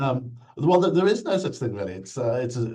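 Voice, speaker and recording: A man speaks in a British accent with a dark, mellow, somewhat breathy tone. His pitch variation is ordinary. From UK. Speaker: insurance regulator, former nurse. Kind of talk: interview. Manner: hesitant, many fillers.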